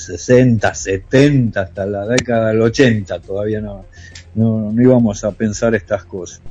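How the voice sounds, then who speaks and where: A very slow man's voice in an Argentine accent, medium in pitch. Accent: Rioplatense Argentine Spanish. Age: 50s. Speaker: musician and long-distance driver. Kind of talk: radio interview. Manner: hesitant.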